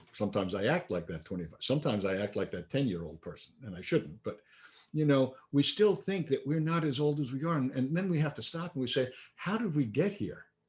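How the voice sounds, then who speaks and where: Over a quiet background, a man with a fairly high pitch talks at a very fast pace, his voice showing vocal fry and very wide pitch swings. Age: 60s. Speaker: minister. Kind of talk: sermon. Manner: conversational.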